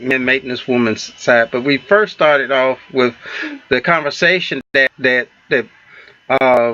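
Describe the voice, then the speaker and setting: A man speaks with a Southern US accent at a fairly slow pace. The tone is bright and sharp, with a dry, close sound and no echo. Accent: Southern US country. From US South. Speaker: relationship talk show co-host. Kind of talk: casual talk show chat. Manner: halting, many fillers and false starts.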